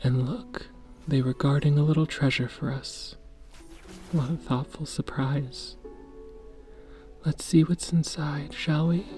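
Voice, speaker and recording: Soft-spoken and soothing, calm in tone, the voice moves at a fairly slow pace with long, frequent pauses over music in the background. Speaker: sleep story and ASMR gaming narrator. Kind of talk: sleep story. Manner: soft-spoken, soothing, calm.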